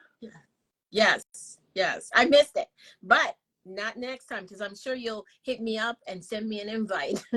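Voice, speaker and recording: With a Jamaican Canadian accent, a woman talks at a fairly slow pace in a bright, sharp tone, her loudness swinging widely and her speech broken by long, frequent pauses, all in a dry, close sound with no echo. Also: fairly high pitch for a woman, ordinary pitch variation. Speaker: talk show host. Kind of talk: interview. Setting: live online show. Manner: enthusiastic.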